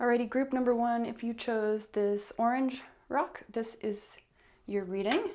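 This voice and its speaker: Speaking at a fairly slow pace, a woman uses a fairly high pitch. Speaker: tarot reader. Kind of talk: tarot card reading. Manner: animated.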